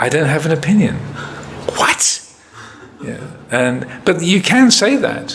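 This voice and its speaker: With an American accent and a high voice, a man is heard amid audible room echo and noticeable background noise. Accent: English with bits of American. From England. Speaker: Buddhist monk, meditation teacher. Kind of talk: retreat Q&A talk. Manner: hesitant, many fillers.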